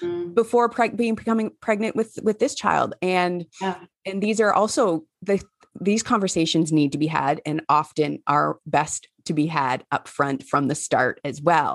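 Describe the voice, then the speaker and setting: A woman's plain, everyday voice, lively in intonation at a moderate pace, dry and close with no echo. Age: 40s. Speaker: podcast host. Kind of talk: interview.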